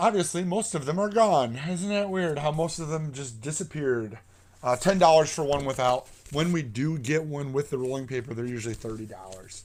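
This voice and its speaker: A man with a plain, everyday voice, a fairly high pitch, lively intonation and a fairly quick pace. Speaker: record store host / seller. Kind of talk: casual livestream talk about records.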